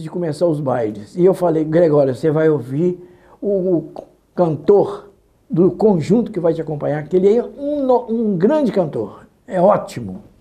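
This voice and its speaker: Talking at a fairly slow pace, a high-pitched man uses lively intonation. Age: 80s+. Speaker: radio announcer. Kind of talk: interview.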